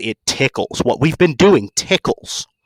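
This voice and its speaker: Putting on a character voice, a man speaks with a gravelly, fairly high pitch at a fairly slow pace. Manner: menacing, amused.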